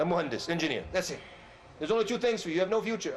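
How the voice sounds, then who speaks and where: A loud man with an American accent, plus audible room echo and noticeable background noise. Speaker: Islamic preacher. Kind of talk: religious lecture. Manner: animated.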